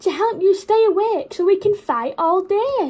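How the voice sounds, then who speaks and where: An exaggerated performed voice from a woman, pitched extremely high. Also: moderate pace. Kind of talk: storybook read-aloud. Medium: read story. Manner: barking, blustery. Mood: earnest explaining.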